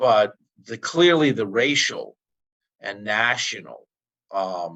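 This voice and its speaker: A medium-pitched man with a New York accent, lively intonation and a very slow pace. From New York, the Bronx. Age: 60s. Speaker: activist. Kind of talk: interview. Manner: halting.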